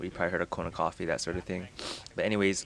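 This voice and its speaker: A man's very deep, low voice. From Hawaii. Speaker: gaming video creator. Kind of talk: casual vlog storytelling. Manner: casual, with many fillers.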